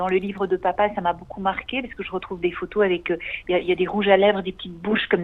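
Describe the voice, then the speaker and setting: A woman's medium-pitched voice at a very fast pace, in a monotone, flat intonation. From USA, New York. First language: English (speaking French). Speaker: author, daughter of a photographer. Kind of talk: radio interview. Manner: hesitant, many fillers.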